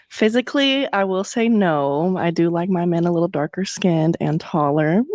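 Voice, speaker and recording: A woman with a fairly low pitch speaks at a moderate pace with lively intonation and very even loudness, over noticeable background noise. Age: 20s. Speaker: dating show contestant. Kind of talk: casual chat.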